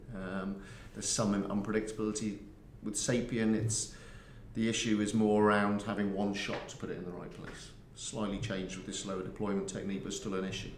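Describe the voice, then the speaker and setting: There is audible room echo and light background noise. A man speaks with a fairly low pitch. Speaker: guest. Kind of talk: interview answer. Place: booth.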